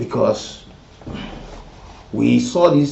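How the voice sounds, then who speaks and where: Noticeable background noise sits behind the recording. A man speaks at a very slow pace. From Liberia. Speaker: radio talk show host. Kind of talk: live call-in talk show.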